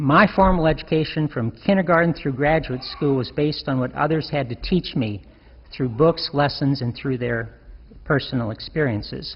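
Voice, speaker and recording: Somewhat breathy, a man's voice sits fairly high in pitch with ordinary pitch variation. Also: moderate pace. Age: 60s. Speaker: deacon. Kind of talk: sermon.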